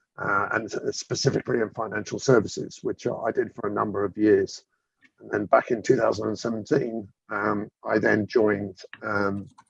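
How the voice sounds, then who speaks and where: A man talks at a moderate pace in a British accent. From UK. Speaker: government chief data officer. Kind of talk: interview. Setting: live webinar.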